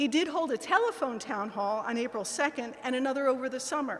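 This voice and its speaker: Over noticeable background noise, a woman talks at a moderate pace with a high pitch. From Pennsylvania. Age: 60s. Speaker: political candidate. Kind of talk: campaign speech. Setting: in-person event with audience.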